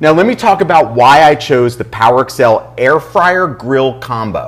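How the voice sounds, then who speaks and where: In a quiet setting, a man is talking. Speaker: chef host. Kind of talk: cooking show presentation. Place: kitchen. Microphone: lapel.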